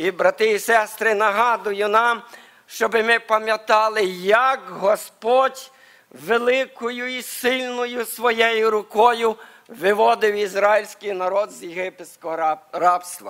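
A man with a high pitch speaks very slowly, his intonation fairly even. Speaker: preacher. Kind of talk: sermon. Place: church. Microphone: podium.

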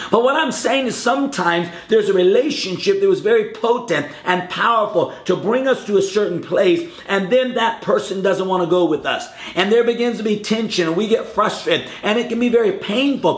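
The speech moves at a fairly quick pace with hardly any pauses, and audible room echo surrounds it. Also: man. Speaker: preacher. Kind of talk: short sermon to camera. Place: home room.

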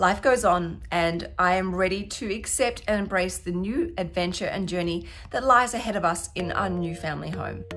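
Faint music plays behind a woman who speaks at a moderate pace with ordinary pitch variation and hardly any pauses. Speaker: lifestyle vlogger. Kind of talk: casual vlog chat. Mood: warm, a bit wistful. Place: home room. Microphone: phone near.

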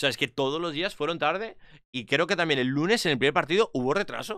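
Bright and sharp in tone, the voice moves at a very fast pace with lively intonation, recorded dry with no echo over a quiet background. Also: man. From Spain. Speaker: esports commentator. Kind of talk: casual chat. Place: home room. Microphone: studio mic.

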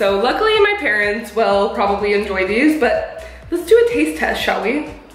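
Faint music plays behind a woman who speaks at a moderate pace with audible room echo. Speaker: food vlogger. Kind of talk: casual vlog chat. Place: kitchen. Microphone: camera far.

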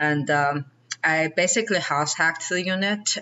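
A woman speaks at a fairly low pitch. Her pitch varies in an ordinary way. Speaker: podcast guest. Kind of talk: interview answer. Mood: warm, reflective. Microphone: video call.

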